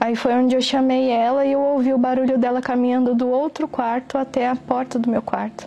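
A woman's high-pitched, monotone, flat delivery at a fairly quick pace over noticeable background noise. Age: 20s. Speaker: photographer giving a religious testimony. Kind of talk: testimony.

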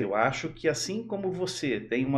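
A man speaks at a moderate pace. Audible room echo surrounds the voice. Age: 50s. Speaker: electronic security expert. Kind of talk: casual chat.

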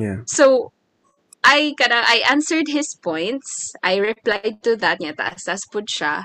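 A bright, sharp tone with vocal fry, in a Visayan Filipino accent, at a fairly slow pace with very wide pitch swings, dry and close with no echo. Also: woman, fairly high pitch for a woman. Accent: Filipino (Cebuano) English. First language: Cebuano. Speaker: podcast co-host. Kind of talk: casual chat.

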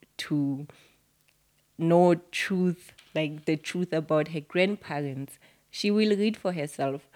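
Very deep and low in pitch, a woman speaks at a very slow pace with long, frequent pauses and ordinary pitch variation. The recording is very clean, with a silent background. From South Africa. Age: 30s. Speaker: author. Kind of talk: interview.

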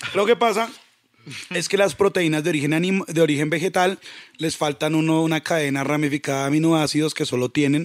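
A man's fairly high voice, animated in tone and lively in intonation, at a fairly quick pace. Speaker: hip hop producer. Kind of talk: casual chat.

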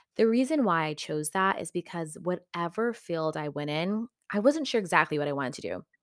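A woman with an American accent talks at a fairly quick pace with hardly any pauses, her pitch fairly low and her intonation lively. The recording is very clean, with a silent background. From West Texas, US. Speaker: podcast host, yoga teacher and wellness entrepreneur. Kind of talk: solo podcast monologue. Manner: casual, frequent laughter.

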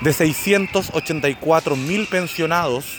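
There is noticeable background noise. The pitch varies in an ordinary way. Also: man. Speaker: documentary podcast maker and narrator. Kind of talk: scripted documentary narration.

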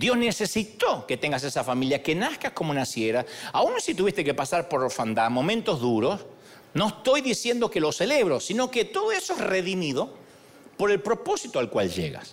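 Over noticeable background noise, a man with a high voice speaks at a moderate pace in an animated tone, his pitch swinging very widely while his loudness stays very even. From Argentina. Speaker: pastor. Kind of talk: sermon. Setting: church.

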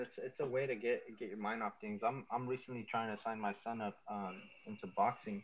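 A man with a normal speaking voice and an American accent, medium pitch, ordinary pitch variation, moderate pace and hardly any pauses. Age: 20s. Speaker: rapper. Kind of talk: casual chat.

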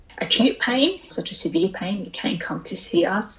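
With an Australian accent, a woman talks at a moderate pace using lively intonation. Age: 20s. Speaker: oral health therapist. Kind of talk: interview.

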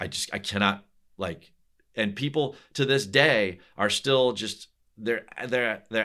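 This man uses an unremarkable speaking voice and keeps a moderate pace. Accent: American. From US Northeast (New Jersey). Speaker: golf betting analyst, former golf teaching pro. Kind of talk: casual interview chat.

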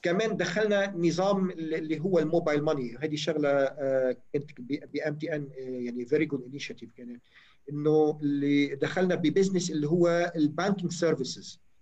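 A man's unremarkable speaking voice at a moderate pace, fairly high in pitch, with ordinary pitch variation. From Lebanon, Chouf (Chhim, Sidon). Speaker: telecom engineer. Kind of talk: interview.

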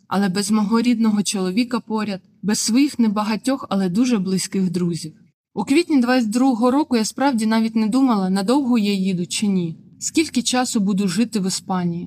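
A woman speaks at a moderate pace in a fairly high, somewhat breathy voice. Her tone is dark and mellow, and her pitch varies in an ordinary way. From southern Ukraine, Melitopol. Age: 20s. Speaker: journalism student and former TV channel worker. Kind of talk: personal testimony narration.

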